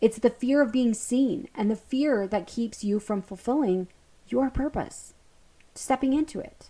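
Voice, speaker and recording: Speaking loudly and at a fairly slow pace, a woman uses a high voice with a dark, mellow tone and ordinary pitch variation. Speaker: podcast host, hypnotherapist and breathwork coach. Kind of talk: spiritual self-help podcast monologue. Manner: animated.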